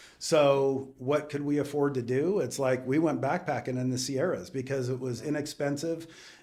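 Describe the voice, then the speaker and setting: A man with an American accent speaks at a moderate pace and fairly high pitch. His intonation is fairly even, and audible room echo surrounds the voice. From US West Coast, Southern California. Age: 60s. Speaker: business owner. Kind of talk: casual chat.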